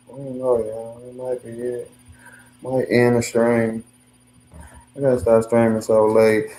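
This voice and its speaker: A man's voice with monotone, flat intonation and big swings in loudness. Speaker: livestreamer. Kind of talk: casual livestream chat. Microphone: no mic, hard to hear.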